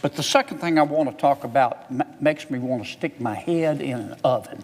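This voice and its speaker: With a Southern US accent, a man speaks at a fairly high pitch with ordinary pitch variation over noticeable background noise. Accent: Southern US drawl. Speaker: politician. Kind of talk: legislative floor speech. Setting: legislative chamber. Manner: folksy, witty.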